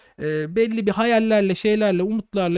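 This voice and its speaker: A man is speaking. The background is quiet. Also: dry sound with no echo. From Turkey. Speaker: doctor and exam-prep educator; exam-prep educator. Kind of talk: live stream monologue. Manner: casual, conversational. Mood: relaxed, joking. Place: home room. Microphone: studio mic.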